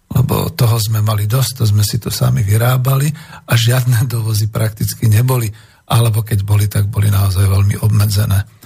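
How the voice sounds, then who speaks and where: Through noticeable background noise, a man speaks fairly quickly in a fairly low voice with fairly even intonation. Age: 60s. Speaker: radio host. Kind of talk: radio talk show. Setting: studio.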